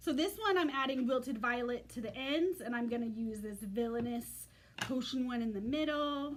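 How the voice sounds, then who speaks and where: The woman's voice is high-pitched and shifts in pitch in an ordinary way. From United States. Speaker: craft demonstrator. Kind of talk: tutorial. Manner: fast.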